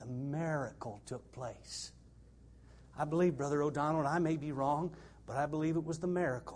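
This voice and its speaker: A man speaks at a moderate pace with a fairly high pitch and fairly even intonation. His voice is somewhat breathy. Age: 60s. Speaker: missionary preacher. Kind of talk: sermon. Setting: church.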